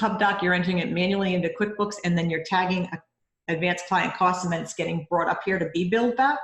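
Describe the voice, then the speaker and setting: Speaking at a very fast pace with a Rhode Island accent, a woman with a fairly low pitch is heard with audible room echo. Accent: Rhode Island, non-rhotic. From US Northeast, Rhode Island. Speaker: bookkeeper and mentor. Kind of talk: mentoring session. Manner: animated.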